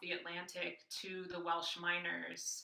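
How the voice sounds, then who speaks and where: A woman with an American accent speaks at a fairly slow pace. Her tone is bright and sharp. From US Midwest, Racine, Wisconsin. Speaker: professor. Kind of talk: interview conversation. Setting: podcast recording.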